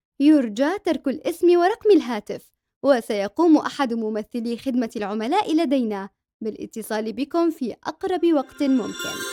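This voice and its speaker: In a dry, close sound with no echo, a woman with a high pitch and a dark, mellow tone speaks at a fairly slow pace, her pitch swinging very widely. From Saudi Arabia. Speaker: voice actor. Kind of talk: IVR phone message.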